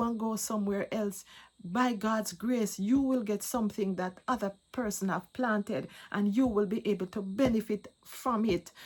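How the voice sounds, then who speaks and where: A woman speaks fairly slowly in a somewhat breathy, fairly high voice with ordinary pitch variation. The recording is very clean, with a silent background. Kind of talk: testimony. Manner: halting, repeats words.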